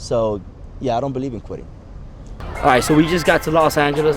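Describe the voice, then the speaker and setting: A man talks at a very fast pace with long, frequent pauses, a fairly high pitch and ordinary pitch variation, with audible room echo and music in the background. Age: 30s. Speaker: fitness business owner and vlogger. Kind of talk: interview answers and vlog narration.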